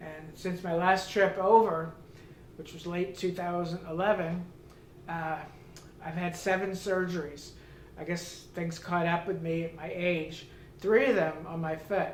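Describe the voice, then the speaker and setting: This man's high voice moves at a moderate pace in a flat monotone, with big jumps in loudness and long, frequent pauses. Room echo is audible, and background noise is noticeable. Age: 70s. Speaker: customer giving product testimonial. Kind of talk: testimony. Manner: halting, many fillers.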